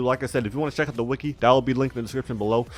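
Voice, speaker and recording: Music in the background behind a man's fairly even, medium-pitched voice. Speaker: gaming YouTuber. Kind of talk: gaming tutorial. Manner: fast; slurring.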